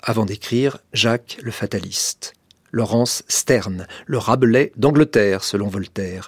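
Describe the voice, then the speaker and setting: The recording is very clean, with a silent background. A man with an unremarkable speaking voice talks at a medium pitch and a fairly slow pace, using lively intonation. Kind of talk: radio continuity announcement, a scripted introduction to the broadcast.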